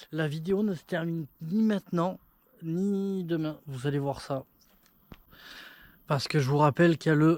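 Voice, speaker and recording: Speaking at a fairly slow pace, the man has a fairly high pitch. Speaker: travel vlogger on a bike trip. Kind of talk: casual vlog to camera. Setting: outdoors at night. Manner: soft-spoken; halting.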